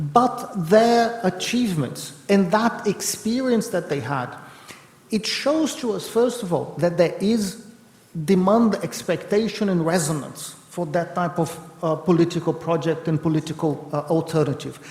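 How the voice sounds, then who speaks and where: A man's lively, high-pitched voice over noticeable background noise. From Brazil. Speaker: professor of political economy. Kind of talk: panel discussion. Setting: event with audience and interpreters. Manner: fast.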